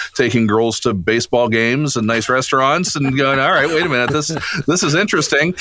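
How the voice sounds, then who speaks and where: Over noticeable background noise, a man speaks with an American accent and ordinary pitch variation. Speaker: voice actor. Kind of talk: interview answer. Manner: casual, joking.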